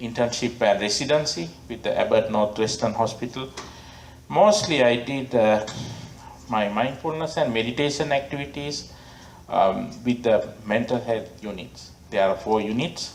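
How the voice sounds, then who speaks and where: A man speaks in a Sri Lankan accent at a moderate pace. His pitch is medium with ordinary variation. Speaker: Buddhist monk and abbot; meditation teacher. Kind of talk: storytelling talk to an audience.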